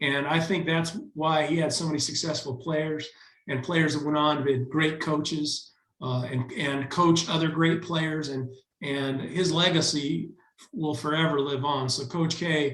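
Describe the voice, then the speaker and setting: This man's voice has a fairly high pitch. He talks at a fairly slow pace with fairly even intonation. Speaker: alumnus and event organizer. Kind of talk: speech of thanks on video call. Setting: video call. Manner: halting, many fillers.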